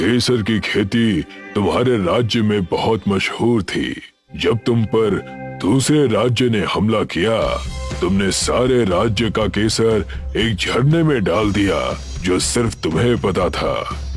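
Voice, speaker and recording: A man puts on a cartoonish character voice at a medium pitch and fairly slow pace. Clear music plays in the background. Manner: calm, solemn.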